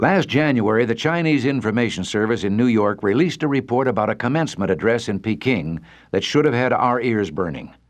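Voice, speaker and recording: A man with an American accent and an unremarkable speaking voice talks at medium pitch against a quiet background. His pace is fairly quick, with lively intonation and hardly any pauses. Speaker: radio commentator. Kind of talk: radio commentary.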